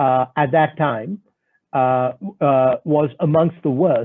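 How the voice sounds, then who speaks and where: At a very slow pace, a man talks in a fairly high voice with ordinary pitch variation. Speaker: economist, panel speaker. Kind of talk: web seminar presentation. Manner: hesitant, many fillers.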